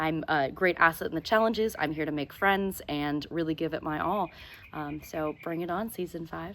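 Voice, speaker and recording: The voice belongs to a woman with an American accent. It sits fairly low in pitch. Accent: American, with a twang. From Southern California, US. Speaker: stage manager, reality game contestant. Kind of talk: video self-introduction. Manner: animated.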